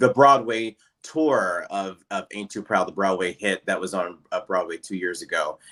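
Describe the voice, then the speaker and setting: In a Pittsburgh accent, a man speaks with a bright, sharp tone, a fairly low pitch and ordinary pitch variation. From Pittsburgh, Pennsylvania (Rankin-Swissvale). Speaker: Broadway and TV actor. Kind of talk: casual interview chat.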